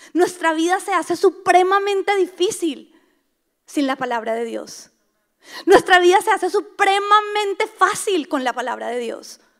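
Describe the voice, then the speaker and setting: A woman talks at an extremely high pitch. Her intonation is lively and her pace fairly slow. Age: 30s. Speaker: pastor. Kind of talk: sermon.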